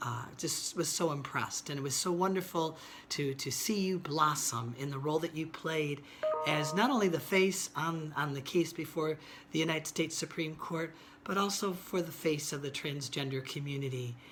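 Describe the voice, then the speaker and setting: With music in the background, a woman of very deep, low pitch speaks at a moderate pace with ordinary pitch variation. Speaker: civil rights lawyer. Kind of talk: recorded tribute message. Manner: hesitant with fillers.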